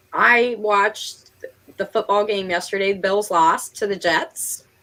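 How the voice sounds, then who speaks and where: Bright and sharp in tone, a woman speaks at a fairly slow pace with an American accent. Her pitch is medium, with ordinary pitch variation. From Western New York, near Rochester. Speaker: writing livestream host. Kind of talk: casual chat.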